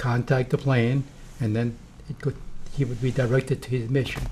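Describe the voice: This man's voice sits at a medium pitch. It carries a dark, mellow tone.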